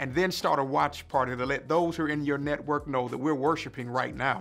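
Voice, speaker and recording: Ordinary pitch variation in a man's speech. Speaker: senior pastor. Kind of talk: worship welcome and announcements. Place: office.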